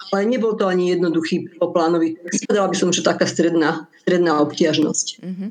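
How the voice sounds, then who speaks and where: A woman's fairly low voice at a fairly quick pace, with hardly any pauses, fairly even intonation and noticeable background noise. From Moravia, Czech Republic. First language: Czech (speaking Slovak). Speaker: translator and editor. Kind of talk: radio interview.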